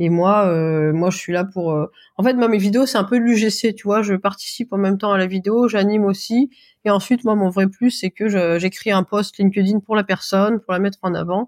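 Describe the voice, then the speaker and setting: A woman speaks with an unremarkable speaking voice at a medium pitch, her intonation fairly even. The sound is dry and close with no echo, on a very clean recording with a silent background. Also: moderate pace. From France, Auvergne. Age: 30s. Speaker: video creator for businesses. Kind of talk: casual interview chat.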